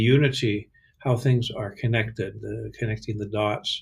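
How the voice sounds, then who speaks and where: On a very clean recording with a silent background, a man with a medium pitch and a somewhat breathy voice speaks at a moderate pace with fairly even intonation. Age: 70s. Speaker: psychotherapist and voice workshop teacher. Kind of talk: casual vlog monologue. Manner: halting, many fillers.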